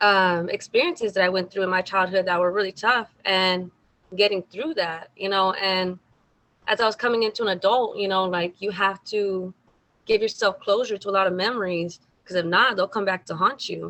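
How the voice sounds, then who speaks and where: Bright and sharp in tone, a woman's medium-pitched voice keeps a fairly even intonation at a moderate pace. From South Texas, Mexican American. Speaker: singer. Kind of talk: interview.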